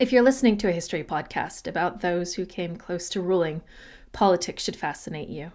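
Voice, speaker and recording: A plain, everyday voice: a woman with an American accent, fairly low pitch, ordinary pitch variation, on a very clean recording with a silent background. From United States. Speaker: history podcaster. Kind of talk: impassioned commentary; scripted narration.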